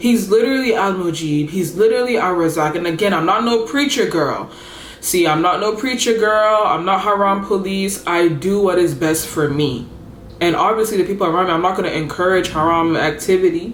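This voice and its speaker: A woman at a fairly quick pace, animated in tone, with audible room echo and very even loudness. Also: medium pitch for a woman, ordinary pitch variation. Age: 20s. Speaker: lifestyle vlogger. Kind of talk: casual chat.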